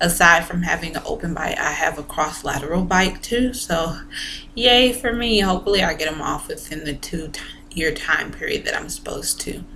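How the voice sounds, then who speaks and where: A woman's fairly low voice with lively intonation, audible room echo and noticeable background noise. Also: moderate pace. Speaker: vlogger sharing braces experience. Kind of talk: casual vlog talk to camera.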